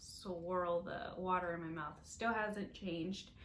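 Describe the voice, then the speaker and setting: In a room with audible echo, a woman speaks at medium pitch and a fairly slow pace with fairly even intonation. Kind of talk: casual video update. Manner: hesitant, many fillers.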